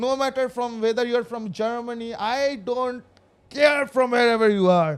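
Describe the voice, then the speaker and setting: The recording is very clean, with a silent background. A man speaks in a high voice with an Indian accent. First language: Indian language (unnamed mother tongue). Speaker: gaming streamer. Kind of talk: casual live stream chat. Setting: live stream. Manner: animated.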